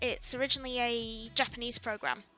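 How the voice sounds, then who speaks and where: Music plays in the background. Speech comes at a moderate pace. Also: woman. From Yorkshire, northern England. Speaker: digital artist streamer. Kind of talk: live stream commentary while drawing. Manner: loud; casual, hesitant fillers.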